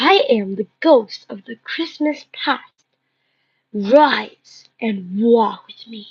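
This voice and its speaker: Soft-spoken and very slow, a woman puts on a character voice at a fairly high pitch. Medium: read story.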